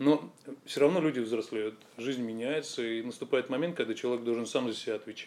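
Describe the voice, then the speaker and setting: A very fast-talking man with ordinary pitch variation. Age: 40s. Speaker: fitness business owner. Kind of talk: interview.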